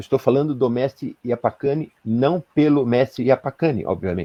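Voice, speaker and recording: This man speaks at a moderate pace. His medium pitch shows ordinary pitch variation. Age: 60s. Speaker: spiritual leader. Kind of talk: live-stream interview. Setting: live video stream. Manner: halting, many fillers.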